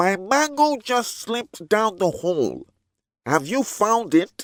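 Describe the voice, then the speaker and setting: A cartoonish character voice that sounds female speaks at a fairly high pitch and a fairly slow pace. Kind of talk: children's storybook.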